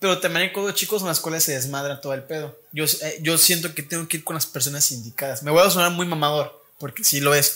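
With hardly any pauses, a man speaks at a fairly quick pace and a fairly high pitch. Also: ordinary pitch variation. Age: 20s. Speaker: university student and podcast host. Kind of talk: casual chat.

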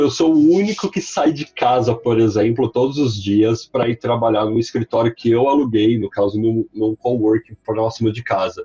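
Somewhat breathy and dark, mellow in tone, a man speaks at a fairly slow pace and medium pitch with ordinary pitch variation, the sound dry and close with no echo. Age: 30s. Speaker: marketing executive and freelancer. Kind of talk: casual chat.

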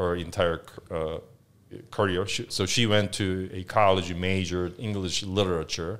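In a Korean accent, a man speaks with very deep, low pitch and monotone, flat intonation. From South Korea, Seoul. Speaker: business lawyer. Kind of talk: casual interview. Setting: studio.

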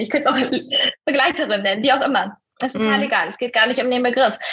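A high-pitched woman at a very fast pace with ordinary pitch variation. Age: 30s. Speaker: life coach. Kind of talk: casual interview.

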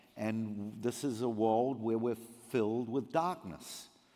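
A man with a New Zealand accent, medium in pitch and dark and mellow in tone. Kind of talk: sermon. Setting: church.

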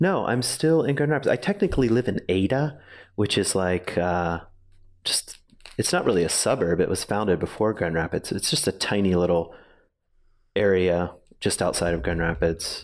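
A man with a normal speaking voice, fairly low in pitch, with an American accent, lively intonation and a moderate pace, in a very clean recording over a silent background. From Virginia. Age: 40s. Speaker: former pastor, spiritual guide. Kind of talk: casual interview conversation.

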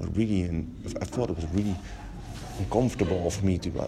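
A man speaks at a fairly quick pace in a very deep, low voice with ordinary pitch variation. Audible room echo and noticeable background noise fill the recording. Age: 40s. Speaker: education founder and teacher. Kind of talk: interview. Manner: halting.

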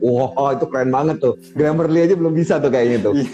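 Over noticeable background noise, a man with a fairly high pitch speaks with ordinary pitch variation. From West Java, Indonesia. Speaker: podcast host and interviewer. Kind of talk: casual interview chat. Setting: video call. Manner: relaxed, conversational.

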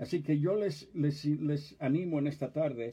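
A somewhat breathy, dark and mellow voice at a fairly slow pace. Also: man. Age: 70s. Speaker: pastor. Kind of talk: sermon. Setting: office livestream.

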